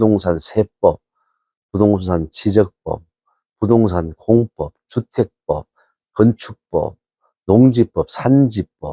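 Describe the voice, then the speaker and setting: The man has a fairly low voice with a dark, mellow tone and ordinary pitch variation. The sound is dry and close, with no echo. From South Korea, North Gyeongsang (Mungyeong). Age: 60s. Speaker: professor. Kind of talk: interview.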